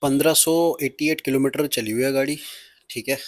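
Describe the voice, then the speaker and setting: A man at a moderate pace, fairly even in intonation, with a dry, close sound and no echo. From Punjab, India. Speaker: car vlogger. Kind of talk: car review vlog. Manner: hesitant with fillers.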